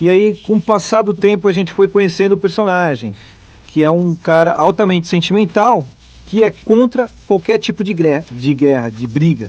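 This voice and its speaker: A man talks with lively intonation. His voice is high-pitched. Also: moderate pace. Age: 30s. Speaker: voice actor. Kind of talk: interview.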